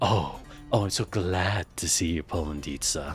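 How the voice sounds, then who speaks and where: Over clear background music, a man puts on a breathy character voice with a very deep, low pitch, speaking at a moderate pace. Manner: affected, fawning.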